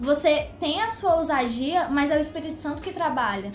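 A woman speaks at a moderate pace and a high pitch, with audible room echo around her. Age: 20s. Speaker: law student and youth ministry leader. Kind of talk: testimony.

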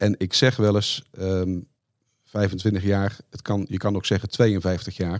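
In a very clean recording with total background silence, a man speaks with a very deep, low pitch. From Netherlands, Brabant. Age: 50s. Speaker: company finance director. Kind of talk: interview.

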